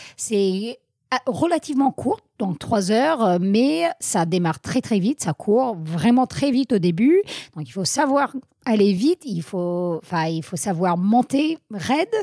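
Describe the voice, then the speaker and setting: A woman's dark, mellow tone at medium pitch, with a slight American accent, a very slow pace, very wide pitch swings, and a dry, close sound with no echo. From US Northeast, Vermont. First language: English (speaking French). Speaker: trail runner. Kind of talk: interview. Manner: hesitant, many fillers.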